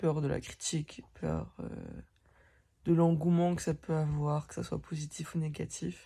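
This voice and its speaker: A woman with a very deep, low pitch speaks in a somewhat breathy voice with fairly even intonation and long, frequent pauses. The recording is very clean, with a silent background. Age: 20s. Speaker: vlogger. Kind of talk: casual vlog monologue.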